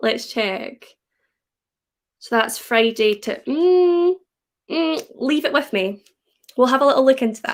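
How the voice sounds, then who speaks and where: A high-pitched woman at a fairly slow pace, with very wide pitch swings and long, frequent pauses. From Scotland. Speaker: BookTuber and student nurse. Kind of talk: live stream chat reading comments. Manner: casual, chatty.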